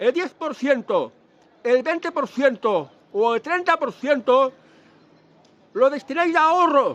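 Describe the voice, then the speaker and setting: The speaker talks at a very slow pace with lively intonation. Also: man. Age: 60s. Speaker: vlogger giving financial advice. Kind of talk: casual monologue vlog. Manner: halting, with self-corrections.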